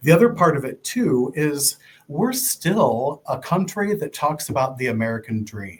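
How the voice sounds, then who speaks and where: At a moderate pace, a man speaks in a fairly high pitch, sounding somewhat breathy. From Ohio. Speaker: nonprofit fundraising director. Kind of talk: interview.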